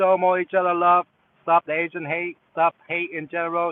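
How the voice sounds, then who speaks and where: Speaking at a moderate pace, a man with a high pitch has a slight Vietnamese accent. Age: 30s. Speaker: delivery driver and gig-work streamer. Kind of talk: casual live stream chat. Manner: halting, many fillers.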